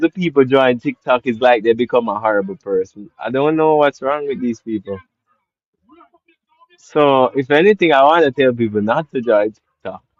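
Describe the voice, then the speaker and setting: A man speaks at a moderate pace with a Jamaican accent. His intonation is lively. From Jamaica, Portland parish. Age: 20s. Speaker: live streamer. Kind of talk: live stream Q&A chat.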